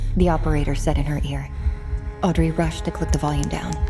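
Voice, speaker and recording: Music runs in the background. Over it, a woman talks very fast. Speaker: audiobook narrator. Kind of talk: audiobook thriller narration. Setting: studio.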